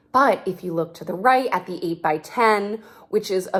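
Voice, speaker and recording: Animated in tone, a woman speaks at a fairly slow pace with ordinary pitch variation. The recording is very clean, with a silent background. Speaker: interior designer. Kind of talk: live stream tutorial.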